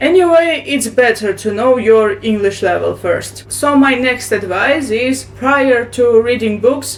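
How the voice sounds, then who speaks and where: In a Russian accent, a woman speaks at a fairly slow pace with ordinary pitch variation. Noticeable background noise can be heard. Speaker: booktuber. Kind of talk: tutorial. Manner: halting.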